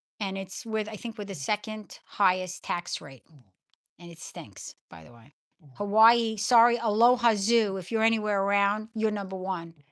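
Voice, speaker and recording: Over a quiet background, a woman with a New York accent speaks at a moderate pace and medium pitch, with ordinary pitch variation and big swings in loudness. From New York (Brooklyn). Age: 60s. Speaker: livestream host. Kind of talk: casual livestream chat. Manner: halting.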